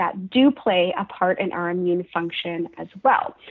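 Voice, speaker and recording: An unremarkable speaking voice with a Canadian accent moves at a moderate pace with lively intonation. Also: woman. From Canada, Halifax, Nova Scotia. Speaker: registered dietitian. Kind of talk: interview.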